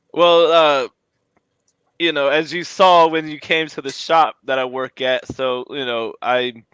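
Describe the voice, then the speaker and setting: With an American accent, a man in an ordinary speaking voice talks at a fairly slow pace, his pitch fairly high and his intonation fairly even. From Florida. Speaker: podcast host. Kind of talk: casual interview chat. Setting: garage.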